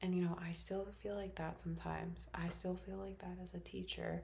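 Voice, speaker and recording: The voice is soft-spoken at a moderate pace. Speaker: teacher and ASMR creator. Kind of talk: ASMR stream of consciousness talk. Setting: bedroom at home. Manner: slightly louder than usual whisper.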